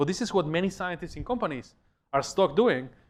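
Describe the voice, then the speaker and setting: A man speaks very fast with a Spanish accent and lively intonation. The background is quiet. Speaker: professor. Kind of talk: lecture. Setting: lecture hall with audience. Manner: conversational, animated.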